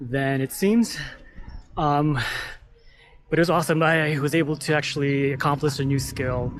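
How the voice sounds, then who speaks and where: A man with an American accent talks at a moderate pace. His voice is fairly high, with fairly even intonation. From United States. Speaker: travel vlogger. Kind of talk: casual vlog monologue. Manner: casual, filler-heavy.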